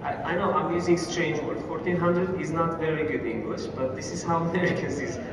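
The speech comes at a fairly quick pace with hardly any pauses, amid audible room echo and noticeable background noise. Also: man. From Uzbekistan. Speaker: trucking company manager. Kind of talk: lecture. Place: hall. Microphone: camera far.

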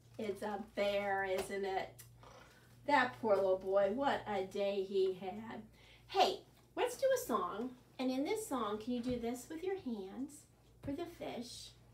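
Speaking slowly at medium pitch, a woman uses lively intonation amid audible room echo.

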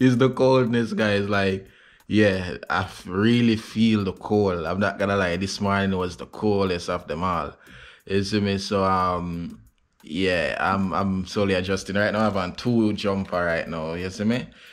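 In a normal speaking voice, a man talks at a fairly slow pace and fairly low pitch with fairly even intonation against a quiet background. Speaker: family vlogger. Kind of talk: casual vlog chat. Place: home room. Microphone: phone near.

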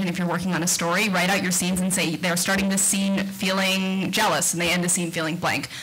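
A woman with an American accent speaks in a normal speaking voice with a fairly low pitch and fairly even intonation. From Texas, Austin; Texas. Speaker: cartoonist; panelist. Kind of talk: panel discussion. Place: hall. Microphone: podium.

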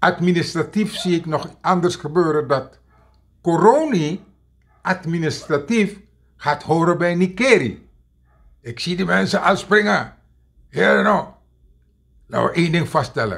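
In a quiet background, a man with a high pitch speaks at a fairly slow pace, leaving long, frequent pauses. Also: ordinary pitch variation. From Suriname. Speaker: political commentator. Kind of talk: video monologue. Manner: animated; hesitant, many fillers. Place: home room. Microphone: webcam.

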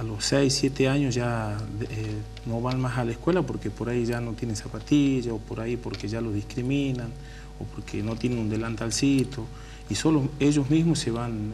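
Moderately paced male speech over light background noise. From Tucumán, northwest Argentina. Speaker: political candidate, community worker; council candidate. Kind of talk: radio interview. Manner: casual. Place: studio.

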